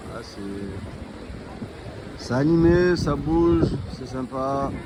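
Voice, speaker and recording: With music in the background and audible room echo, a man speaks very slowly at a medium pitch. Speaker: travel vlogger. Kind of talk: casual vlog narration. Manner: halting, many repetitions.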